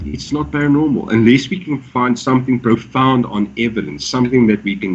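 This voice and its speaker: Vocal fry runs through a man's medium-pitched voice as he speaks at a moderate pace. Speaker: paranormal vlogger. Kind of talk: casual chat.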